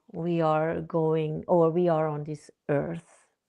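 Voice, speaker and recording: A woman with a non-native accent speaks at a very slow pace in a fairly low voice. The background is quiet. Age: 50s. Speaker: therapist and author. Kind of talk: interview conversation. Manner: halting, self-correcting.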